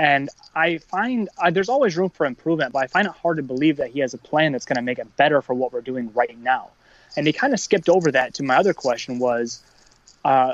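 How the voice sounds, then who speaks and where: A man with a plain, everyday voice speaks at a fairly quick pace, his fairly high pitch rising and falling in a lively way. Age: 30s. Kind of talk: casual chat.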